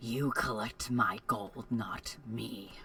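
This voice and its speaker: Putting on a character voice, a man speaks at medium pitch against clear background noise. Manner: sinister.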